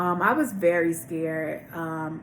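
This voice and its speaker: Audible room echo surrounds a woman speaking with a fairly low pitch. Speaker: vlogger sharing weight loss surgery journey. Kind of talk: casual vlog monologue.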